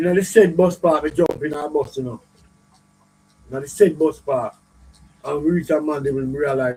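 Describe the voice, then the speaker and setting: A man with a Jamaican accent talks at a moderate pace in a fairly high voice with fairly even intonation. His loudness swings widely, and he takes long, frequent pauses. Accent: Jamaican patois. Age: old. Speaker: dancehall videoman. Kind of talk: interview storytelling. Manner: halting.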